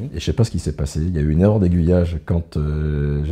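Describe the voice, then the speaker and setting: Very deep and low, a man's voice has a dark, mellow tone and fairly even intonation. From France, Limoges. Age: 60s. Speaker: business executive. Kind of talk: interview.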